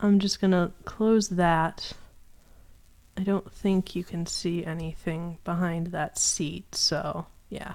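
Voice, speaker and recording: At a very slow pace, a woman speaks in a fairly low pitch with monotone, flat intonation. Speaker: artist streaming animation work. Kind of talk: casual live stream chat. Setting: live stream at home. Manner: stuttering, halting.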